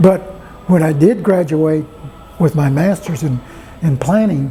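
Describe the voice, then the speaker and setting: Over noticeable background noise, a man talks at a fairly slow pace with a fairly high pitch and ordinary pitch variation. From Texas (Bryan), Mexican-American family. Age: 70s. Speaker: retired city planner. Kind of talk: oral history interview. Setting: restaurant. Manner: halting, repetitive starts.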